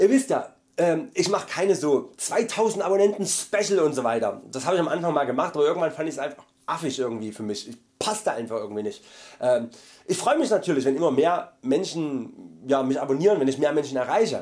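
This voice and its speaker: Against a quiet background, a man with a fairly high pitch talks at a fairly quick pace with very wide pitch swings. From Saxony, Germany. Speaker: vegan YouTuber; vlogger. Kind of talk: monthly vlog update. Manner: loud; hesitant fillers.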